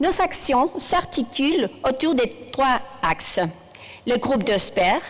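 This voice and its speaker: A woman with a Spanish accent, very wide pitch swings, a fairly slow pace, and noticeable background noise. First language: Spanish (speaking French). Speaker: general practitioner and professor. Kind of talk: conference keynote speech. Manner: halting, with hesitations.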